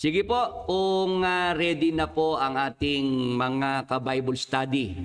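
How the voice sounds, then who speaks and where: A man talks at a very slow pace with lively intonation. His pitch sits fairly high. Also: very even loudness. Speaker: Bible study host. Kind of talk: Bible study livestream. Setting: live stream. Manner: halting.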